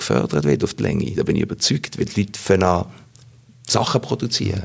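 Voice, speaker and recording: Noticeable background noise behind a man speaking. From Basel, Switzerland. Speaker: voice actor and actor. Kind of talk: interview.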